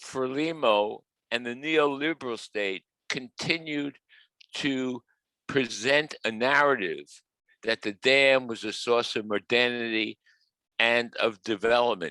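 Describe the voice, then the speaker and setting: With a strong New York accent, a man speaks in a bright, sharp tone, leaving long, frequent pauses, in a dry, close sound with no echo. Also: medium pitch for a man, ordinary pitch variation, fairly slow pace. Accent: New York, heavy. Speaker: professor. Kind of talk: webinar talk. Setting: video call.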